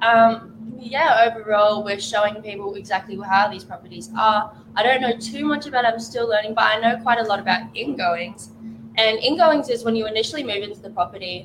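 Over noticeable background noise, a woman with a fairly high pitch speaks at a fairly quick pace, her loudness swinging widely. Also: ordinary pitch variation. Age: young. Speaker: property officer. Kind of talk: casual chat.

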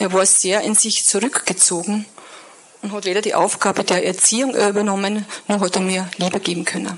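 A woman speaks in a flat monotone with a strong Upper Austrian accent, medium pitch and a moderate pace over noticeable background noise. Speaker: guest speaker sharing life story. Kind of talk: testimony. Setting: church service stage with audience.

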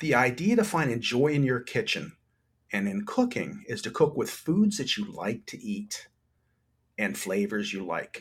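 Somewhat breathy speech with an American accent comes at a fairly slow pace. The pitch swings very widely. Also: man, medium pitch for a man. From New Jersey. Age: old. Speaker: chef and food blogger. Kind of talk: casual chat.

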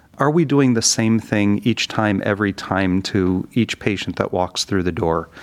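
With an American accent, a man speaks in a normal speaking voice, fairly low in pitch, with lively intonation. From US Midwest, Detroit area. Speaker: speech language pathologist. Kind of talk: interview.

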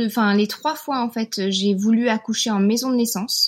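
A woman's fairly slow speech with ordinary pitch variation, in a very clean recording over a silent background. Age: 30s. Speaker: naturopath and mother. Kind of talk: testimony. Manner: hesitant, many fillers.

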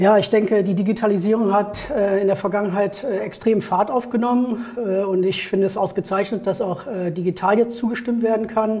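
High-pitched male speech with hardly any pauses and fairly even intonation, over noticeable background noise. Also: moderate pace. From Germany, Neuss (Rhineland). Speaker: election candidate, savings bank professional. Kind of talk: interview.

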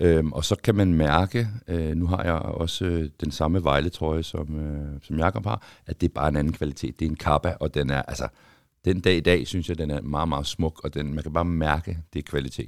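A dry, close sound with no echo and a very clean, silent background carries speech at a moderate pace with fairly even intonation. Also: man, very deep, low pitch for a man. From Denmark, Copenhagen. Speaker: former footballer. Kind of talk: casual chat.

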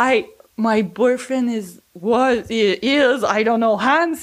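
A woman speaks with a Quebec accent. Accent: Québécois French accent in English. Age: 40s. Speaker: van owner. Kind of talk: casual interview storytelling. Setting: at her home.

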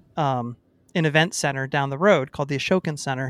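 With fairly even intonation and a fairly high pitch, a man talks at a fairly quick pace in an unremarkable speaking voice, recorded very cleanly against a silent background with a dry, close sound and no echo. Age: 40s. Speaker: podcast co-host and musician. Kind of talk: casual chat.

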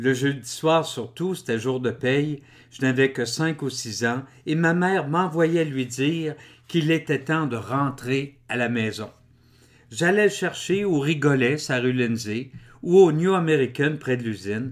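On a very clean recording with a silent background, a man with a Quebec accent and a fairly high pitch speaks at a very slow pace with ordinary pitch variation. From Quebec, Drummondville. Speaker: author and public speaker. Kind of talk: reading aloud.

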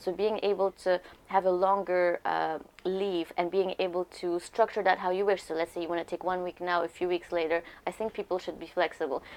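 Monotone, flat intonation at a fairly quick pace. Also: woman, fairly low pitch for a woman. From Lebanon. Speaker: communications executive at a fintech company. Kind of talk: interview conversation.

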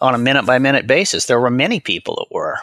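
The recording of this man at a medium pitch sounds dry and close, with no echo. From US Midwest (Omaha, Nebraska). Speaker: college president and finance educator. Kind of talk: interview.

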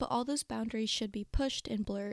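Upbeat in tone, a woman speaks at a high pitch with ordinary pitch variation in a dry, close sound with no echo. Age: 20s. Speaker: book podcast host. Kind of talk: solo podcast introduction.

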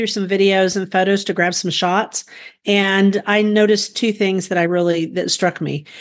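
At a moderate pace and a medium pitch, a woman talks in an unremarkable speaking voice over a quiet background. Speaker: gardening podcast host. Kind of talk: casual chat.

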